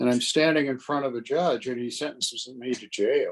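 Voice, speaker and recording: A man talks in a normal speaking voice, fairly high in pitch and at a fairly quick pace. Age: 60s. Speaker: trial lawyer and mayor. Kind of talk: interview.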